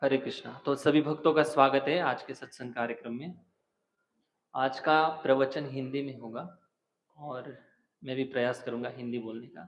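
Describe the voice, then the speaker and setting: A man talks with fairly even intonation but big swings in loudness. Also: medium pitch for a man. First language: not Hindi (speaking Hindi). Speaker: religious preacher. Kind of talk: scripture discourse.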